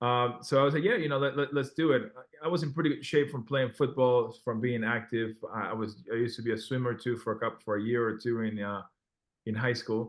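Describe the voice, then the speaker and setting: With a Spanish accent, a man talks at a very fast pace. His pitch is medium and his intonation fairly even. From Peru. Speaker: former Olympic rower and restaurant owner. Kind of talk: podcast interview. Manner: halting, many restarts.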